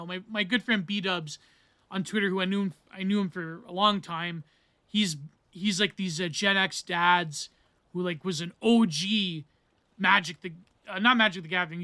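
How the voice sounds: In a Canadian accent, a man with a high, bright, sharp voice projects loudly, leaving long, frequent pauses. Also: fairly even intonation, moderate pace.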